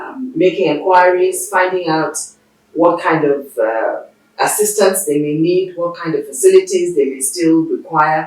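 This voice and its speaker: A woman with a medium pitch speaks with lively intonation. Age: 60s. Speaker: veteran television producer and broadcaster. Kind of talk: interview. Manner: halting, with many fillers.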